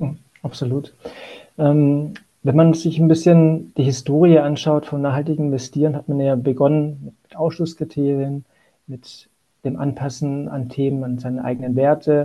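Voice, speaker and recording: A man with a fairly high voice and a dark, mellow tone talks at a moderate pace with fairly even intonation. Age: 40s. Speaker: asset management sustainability lead. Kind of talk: interview.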